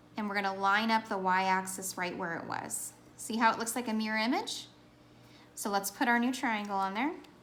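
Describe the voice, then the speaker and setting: Over background music and with audible room echo, a woman talks at a fairly quick pace, her fairly high voice showing ordinary pitch variation. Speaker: math teacher. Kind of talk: tutorial. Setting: recorded lesson video for students.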